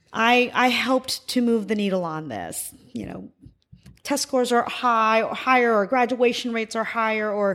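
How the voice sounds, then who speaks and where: A woman with an American accent speaks in an ordinary speaking voice at a fairly high pitch and a moderate pace. Her intonation is fairly even, on a very clean recording with a silent background. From US, military family moving around. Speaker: former education official. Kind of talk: interview.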